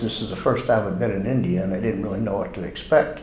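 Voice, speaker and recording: Noticeable background noise sits behind this man. His voice is fairly low, with ordinary pitch variation. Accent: American. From United States. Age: 70s. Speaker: patient, retired marine. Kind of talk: testimony. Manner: halting.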